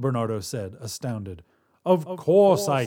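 With lively intonation, the voice is reading aloud in a natural voice over a quiet background.

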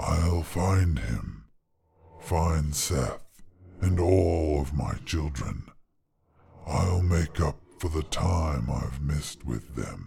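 Using a put-on character voice, a man goes extremely low in pitch with vocal fry and a dark, mellow tone, moving at a very slow pace with big pitch swings.

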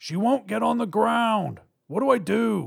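A man does a put-on character voice, high-pitched with vocal fry and a slightly husky edge, using lively intonation at a fairly slow pace on a very clean recording with a silent background.

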